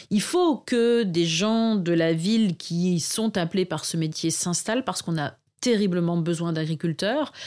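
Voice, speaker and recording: A woman's fairly low, a plain, everyday voice at a fairly slow pace, with ordinary pitch variation, on a very clean recording with a silent background. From northern France, Arras. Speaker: market gardener and permaculture consultant. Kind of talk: interview conversation.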